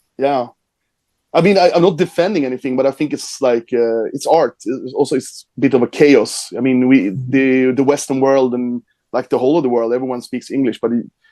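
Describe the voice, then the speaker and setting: A man with a Swedish accent, fairly quick, with ordinary pitch variation and a dark, mellow tone in a dry, close sound with no echo. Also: medium pitch for a man. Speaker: metal band singer. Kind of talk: interview.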